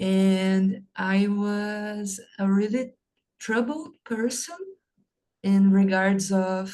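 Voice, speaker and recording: A woman's somewhat breathy, dark, mellow voice at medium pitch, with fairly even intonation and a Portuguese accent. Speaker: English learner. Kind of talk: casual chat.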